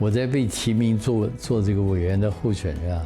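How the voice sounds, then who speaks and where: The delivery moves at a fairly slow pace with ordinary pitch variation. Music plays in the background. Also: man. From Taiwan. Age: 70s. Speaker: former Olympic committee member. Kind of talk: interview answer. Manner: relaxed, talkative.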